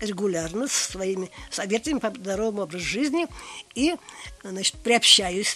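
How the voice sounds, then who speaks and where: Through noticeable background noise, a woman speaks at a fairly high pitch with lively intonation. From Tatarstan, Russia (grew up on the Kama). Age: 80s+. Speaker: retired geologist. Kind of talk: casual interview.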